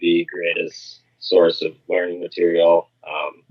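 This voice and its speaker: A man mumbles in an Upper Midwest accent. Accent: Upper Midwest American. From Minnesota. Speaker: pest control business owner. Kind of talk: podcast interview. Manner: mumbling.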